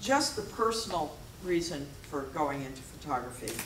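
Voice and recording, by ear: A woman talks with lively intonation, and audible room echo surrounds her voice.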